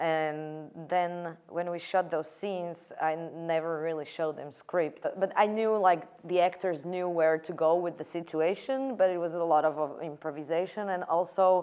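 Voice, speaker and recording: A woman speaks at a moderate pace with fairly even intonation. Her voice is fairly low in pitch, with a dark, mellow tone. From Slovakia. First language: Slovak. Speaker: film director. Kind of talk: interview. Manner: halting, many fillers and repetitions.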